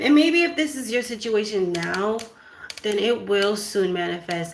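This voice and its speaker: Noticeable background noise sits behind a woman with a fairly high pitch. She speaks at a fairly slow pace with lively intonation. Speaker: spiritual card reader. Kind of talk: oracle card reading.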